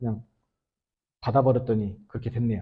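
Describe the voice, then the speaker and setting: A man talks very fast in a somewhat breathy voice. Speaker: pastor. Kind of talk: sermon. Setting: church.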